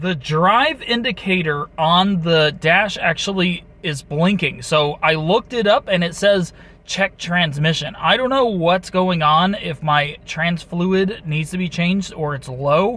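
A man speaks in a high voice at a fairly slow pace, with ordinary pitch variation. The sound is dry, with no echo. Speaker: car owner vlogger. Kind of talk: casual vlog chat. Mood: mildly worried. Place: car. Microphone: phone near.

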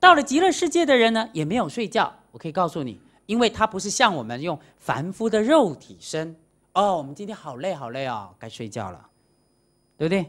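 The background is quiet. A man talks at a moderate pace in an animated tone. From Taiwan. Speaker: Buddhist monastic lecturer. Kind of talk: dharma lecture. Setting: lecture hall with audience. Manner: animated, many interjections. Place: hall.

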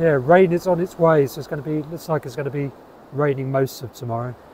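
Over light background noise, a man talks at a very fast pace in a somewhat breathy voice with ordinary pitch variation and a dry sound with no echo. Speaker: self-publishing writer vlogger. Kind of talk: casual vlog chat. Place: beach. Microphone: phone near.

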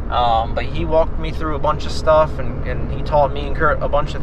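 There is noticeable background noise and a dry sound with no echo. A man talks at a fairly quick pace. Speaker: small business owner vlogger. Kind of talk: casual vlog chat. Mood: upbeat, relaxed. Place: car. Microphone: phone near.

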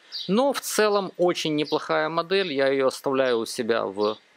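A man is speaking. His pitch swings very widely. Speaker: video blogger. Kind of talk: tutorial. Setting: at a table with laptop.

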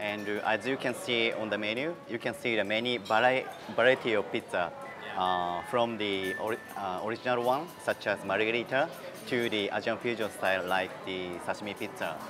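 Clear music plays in the background as a man speaks at a fairly low pitch with ordinary pitch variation. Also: moderate pace. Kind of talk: interview answer. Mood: friendly, gently enthusiastic. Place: cafe.

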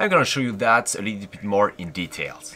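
A man talks with a bright, sharp tone. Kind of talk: tutorial. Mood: relaxed, enthusiastic. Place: street.

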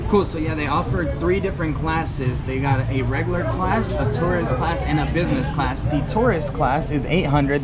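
A man at a fairly quick pace, with music in the background. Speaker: travel vlogger. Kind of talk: casual vlog chat. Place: station. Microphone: phone near.

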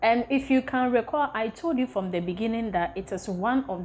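A somewhat breathy woman's voice over light background noise. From Ghana. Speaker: content creator, travel vlogger. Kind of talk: casual vlog presentation. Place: home room.

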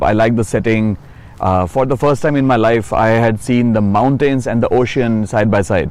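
A man speaks with an Indian accent and fairly even intonation. His loudness stays very even. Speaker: city council candidate, psychiatrist. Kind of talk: interview. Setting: outdoors.

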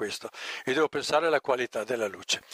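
The background is quiet and the sound dry, with no echo. A man speaks in a bright, sharp tone with ordinary pitch variation. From Friuli, northeast Italy. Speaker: lecturer on ecological building and agriculture; lecturer on ecological building. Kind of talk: lecture. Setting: live audience event. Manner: conversational, informal. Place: tent. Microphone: headset.

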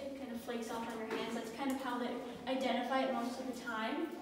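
The voice is monotone and flat, with strong room echo and light background noise. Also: woman. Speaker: mine tour guide. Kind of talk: guided tour explanation. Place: tunnel cave. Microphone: camera far.

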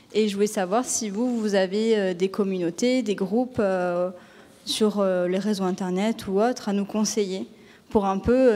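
A woman of medium pitch speaks at a fairly slow pace in a dark, mellow tone. Her intonation is monotone and flat. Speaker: panel moderator. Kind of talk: panel discussion. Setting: stage with audience. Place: hall. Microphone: handheld.

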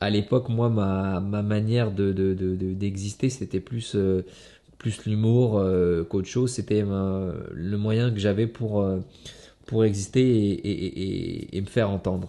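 A man's fairly low, dark and mellow voice, with fairly even intonation and a very slow pace. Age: 30s. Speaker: kickboxing world champion. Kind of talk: motivational monologue to camera. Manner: halting, many fillers and repetitions. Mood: reflective, earnest. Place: home room.

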